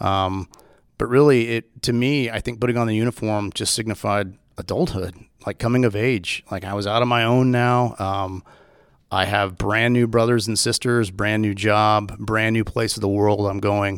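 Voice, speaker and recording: On a very clean recording with a silent background, a man with a Texan accent speaks at a fairly low pitch and moderate pace, keeping his intonation fairly even. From Texas. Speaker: police officer and Marine veteran. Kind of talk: interview conversation.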